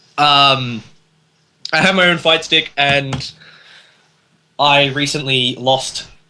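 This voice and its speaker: A man's fairly high voice with an Australian accent. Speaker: podcast panelist. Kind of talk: casual chat.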